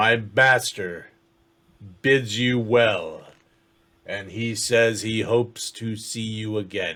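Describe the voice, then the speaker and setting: A man does a put-on character voice at a medium pitch. He speaks very slowly. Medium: actual play. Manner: formal, measured.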